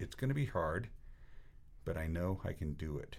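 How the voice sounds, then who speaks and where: Speaking fairly slowly, a man has a dark, mellow tone. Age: 60s. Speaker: cycling coach. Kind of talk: casual chat.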